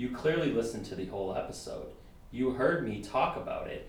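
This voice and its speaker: A man talks at a moderate pace. Audible room echo and noticeable background noise fill the recording. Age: 20s. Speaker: podcast guest. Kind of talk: casual chat. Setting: studio. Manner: animated.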